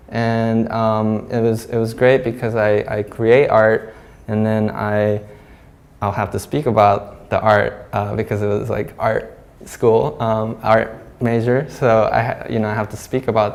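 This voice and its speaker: Speech in a Japanese accent moves at a fairly slow pace with monotone, flat intonation. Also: man. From Hong Kong, Japanese community. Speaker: glass artist. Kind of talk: artist talk. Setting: gallery with audience. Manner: halting, many fillers.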